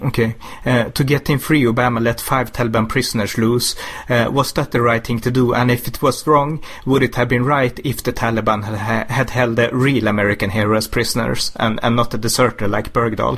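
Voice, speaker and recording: Against noticeable background noise, a man with a Swedish accent talks at a fairly quick pace and a medium pitch, with fairly even intonation and very even loudness. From Sweden. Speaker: interviewer. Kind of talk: interview.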